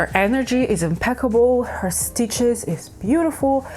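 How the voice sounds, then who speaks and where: A woman speaks over noticeable background noise. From Ukraine. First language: Ukrainian or Russian. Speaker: crafting YouTuber. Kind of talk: casual vlog chat. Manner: casual, self-correcting.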